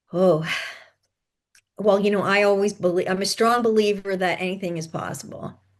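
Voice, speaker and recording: Here a woman speaks at a medium pitch and moderate pace. Her intonation is fairly even, and she takes long, frequent pauses. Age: 60s. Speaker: podcast guest, author and mother. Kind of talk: podcast interview.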